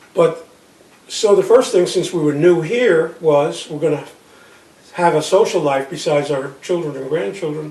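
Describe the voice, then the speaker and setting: At a moderate pace, a man talks in a fairly high pitch with ordinary pitch variation, with noticeable background noise and audible room echo around him. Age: 80s+. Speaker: retired business professional. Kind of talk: interview.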